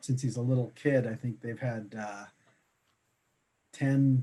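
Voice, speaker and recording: Delivered fairly slowly, the talk keeps a fairly level intonation throughout. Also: man. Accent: slight Boston. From Boston, Massachusetts. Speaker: insurance broker. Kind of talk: interview. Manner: halting.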